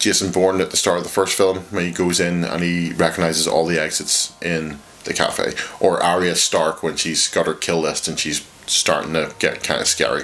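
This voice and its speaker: In a Northern Irish accent, a man speaks at a moderate pace with a very deep, low pitch and monotone, flat intonation. Noticeable background noise runs underneath. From Northern Ireland. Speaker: video essayist on games. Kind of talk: scripted video essay narration.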